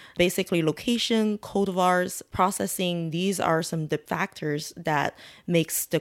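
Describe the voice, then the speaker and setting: With a Chinese accent, a woman speaks at a fairly low pitch and with fairly even intonation. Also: dry, close sound with no echo. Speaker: tea shop owner. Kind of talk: interview.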